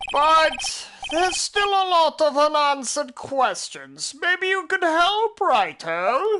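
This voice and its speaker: Using a cartoonish character voice at an extremely high pitch, a woman speaks at a fairly slow pace with hardly any pauses. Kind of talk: eighties cartoon style.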